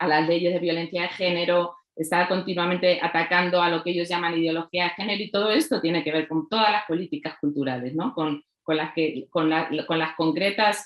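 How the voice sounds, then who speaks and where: Speaking in a Castilian accent, a woman with a fairly low pitch talks at a fairly quick pace. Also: fairly even intonation, hardly any pauses. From Spain, La Mancha. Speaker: writer and researcher. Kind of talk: panel talk. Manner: halting, many fillers.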